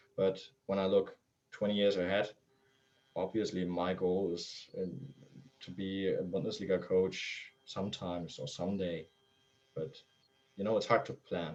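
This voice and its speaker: A man talks at a moderate pace in a very deep, low voice. His intonation stays monotone and flat, broken by long, frequent pauses. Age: 20s. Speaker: youth football coach. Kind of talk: interview. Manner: halting. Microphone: poor internet connection.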